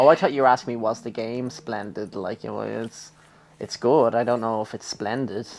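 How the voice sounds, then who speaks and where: A man speaks with a Dublin accent, his pitch medium and his intonation fairly even. There is vocal fry, and his loudness swings widely. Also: moderate pace. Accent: Dublin Irish. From Ireland, Dublin. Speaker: gaming YouTuber. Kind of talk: casual chat during let's play.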